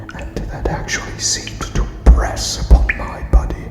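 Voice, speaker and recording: A man whispers at a very slow pace, soft-spoken throughout. Noticeable background noise sits behind him. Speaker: ASMR narrator. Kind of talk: whispered ASMR story reading. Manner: whispered, soft, slow.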